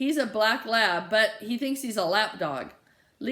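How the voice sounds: A natural reading voice is heard here. It reads in that natural way throughout.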